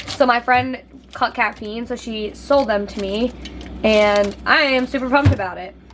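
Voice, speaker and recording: A woman's fairly high voice, with fairly even intonation, comes through noticeable background noise. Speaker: fitness vlogger. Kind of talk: casual vlog chat. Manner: loud; casual, filler-heavy.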